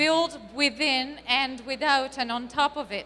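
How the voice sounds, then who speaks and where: This voice is raised and projected, with a bright, sharp tone. It carries an Italian accent and ordinary pitch variation. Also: woman. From Italy. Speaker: marketing speaker. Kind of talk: conference talk.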